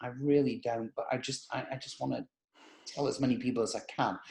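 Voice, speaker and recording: A man talks at a fairly quick pace in an English accent. His tone is animated. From northern England, Manchester. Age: 60s. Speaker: business owner. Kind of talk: podcast interview.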